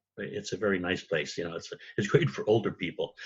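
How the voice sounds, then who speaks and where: A man with an American accent talks at a very fast pace. His voice is somewhat breathy and fairly low in pitch. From US. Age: 70s. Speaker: retired school principal, comic book creator. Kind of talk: interview. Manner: hesitant, many fillers.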